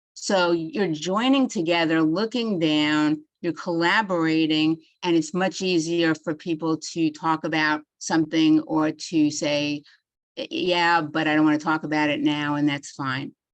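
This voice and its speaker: This speaker talks fairly slowly in a New York accent, with ordinary pitch variation. The background is quiet. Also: woman, very deep, low pitch for a woman. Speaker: psychologist giving a webinar. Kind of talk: webinar lecture. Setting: online webinar.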